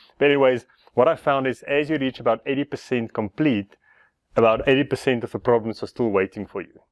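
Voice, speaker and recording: A fairly quick pace and ordinary pitch variation in an ordinary speaking voice. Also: man. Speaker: motorcycle DIY vlogger. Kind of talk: casual vlog tutorial.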